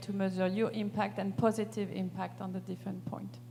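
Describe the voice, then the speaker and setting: At a moderate pace, a woman speaks in a French accent. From France. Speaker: panelist on sustainability. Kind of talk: panel discussion.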